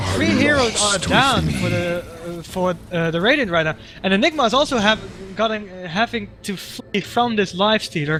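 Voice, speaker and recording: Raised, projected, high-pitched male voice at a moderate pace with lively intonation, amid noticeable background noise. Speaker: game commentator. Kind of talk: live commentary. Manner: animated; halting.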